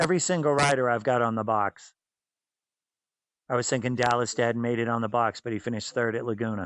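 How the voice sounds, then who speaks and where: A man with an American accent talks at a fairly quick pace and medium pitch. He uses ordinary pitch variation and takes long, frequent pauses. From Massachusetts, south of Boston. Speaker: former superbike racer and race team owner. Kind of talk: casual interview chat.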